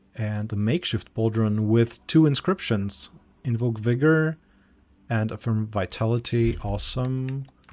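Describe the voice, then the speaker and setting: A man with a non-native accent speaks fairly slowly at a medium pitch, with ordinary pitch variation. The recording is very clean, with a silent background. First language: not English. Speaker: game developer community manager. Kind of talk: gameplay walkthrough stream. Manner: halting.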